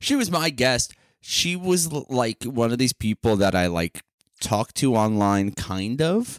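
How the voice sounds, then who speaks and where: A man's medium-pitched, animated voice with very wide pitch swings, very even loudness, a fairly slow pace, and a very clean recording with a silent background. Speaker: comedian and podcast co-host. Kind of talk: casual chat.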